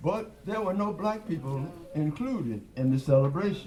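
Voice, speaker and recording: There is audible room echo as a man talks with very wide pitch swings. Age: 80s+. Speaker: jazz musician performing live. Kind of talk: onstage talk between songs. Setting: live performance at a record store with audience. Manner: halting, with fillers.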